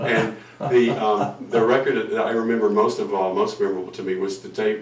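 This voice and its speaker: A man with an American accent talks at a moderate pace. Audible room echo and noticeable background noise fill the recording. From US South. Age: 60s. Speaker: musician. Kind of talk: casual chat. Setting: live broadcast from a living room.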